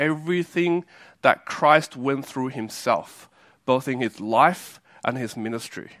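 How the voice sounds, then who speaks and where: Background silence surrounds a very clean recording. The voice carries an Australian accent. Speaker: preacher. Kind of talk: sermon. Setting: church. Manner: halting.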